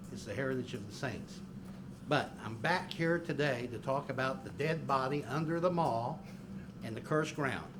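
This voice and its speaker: Audible room echo surrounds a man who speaks at a fairly high pitch and a moderate pace, with ordinary pitch variation. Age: 60s. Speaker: public commenter at city council meeting. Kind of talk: public comment at council meeting. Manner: halting, frequent fillers and restarts.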